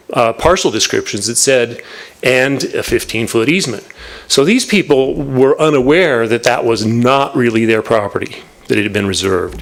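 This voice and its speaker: Medium pitch and ordinary pitch variation from a male speaker, moderate in pace. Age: 60s. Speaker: property owner and lawyer addressing planning commission. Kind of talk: public comment at a government meeting. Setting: city planning commission meeting. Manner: halting with fillers.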